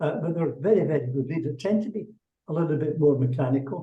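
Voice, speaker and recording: A man speaks in a Scottish accent at a fairly quick pace. His pitch variation is ordinary. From Scotland. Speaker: executive leadership coach. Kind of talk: webinar Q&A interview.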